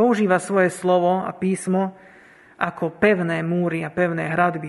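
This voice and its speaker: The man speaks in a high pitch. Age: 20s. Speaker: lay preacher. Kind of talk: sermon.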